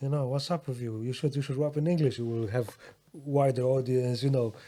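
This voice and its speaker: A man with a Polish accent speaks at a medium pitch in a dark, mellow tone on a very clean recording with a silent background. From Poland. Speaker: rapper and music producer. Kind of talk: casual chat. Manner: halting.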